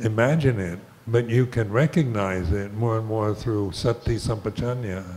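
Somewhat breathy, a man with an American accent speaks at a fairly slow pace with ordinary pitch variation. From United States. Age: 80s+. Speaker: Buddhist monk and meditation teacher; meditation teacher. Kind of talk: dharma talk with Q&A. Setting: hall with live audience. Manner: slow, halting, with frequent repetitions. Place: hall. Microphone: studio mic.

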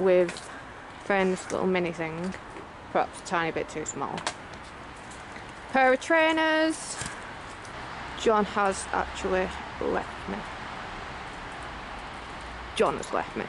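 Over noticeable background noise, a woman speaks at a fairly slow pace with long, frequent pauses. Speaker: urban explorer vlogger. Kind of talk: casual vlog chat. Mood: excited, slightly nervous. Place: open country. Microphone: phone near.

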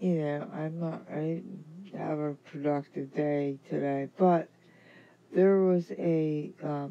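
Very slowly, a woman speaks with a very deep, low pitch, a dark, mellow tone and fairly even intonation. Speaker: gig delivery worker. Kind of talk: casual bedtime vlog talk.

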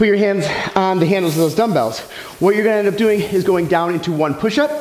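A man's high-pitched voice with audible room echo. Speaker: fitness trainer. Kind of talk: tutorial. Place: gym.

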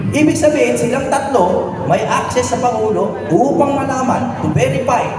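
Over noticeable background noise and audible room echo, a man with an extremely high pitch talks in an animated tone at a moderate pace, his intonation lively. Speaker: singer turned lawyer, political speaker. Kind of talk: political speech at a rally. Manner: animated, call-and-response.

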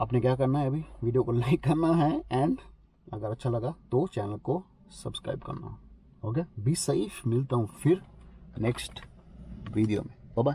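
A man's dark, mellow, somewhat breathy voice at a fairly slow pace, with long, frequent pauses, ordinary pitch variation, a dry sound with no echo, and light background noise. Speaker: vlogger giving visa advice. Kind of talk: casual vlog explainer. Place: car. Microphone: phone near.

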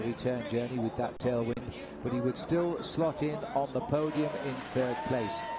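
A man at a moderate pace with ordinary pitch variation, over noticeable background noise. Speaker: cycling commentator. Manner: fluent, brisk, informative play-by-play, with occasional 'uh' fillers.

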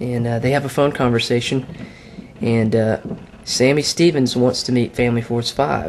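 A man speaks at a moderate pace with ordinary pitch variation. There is light background noise. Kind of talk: casual vlog chat. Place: home room. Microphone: camera far.

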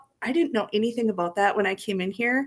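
A woman with ordinary pitch variation. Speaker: guest. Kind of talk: interview answer. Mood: friendly, upbeat. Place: home room.

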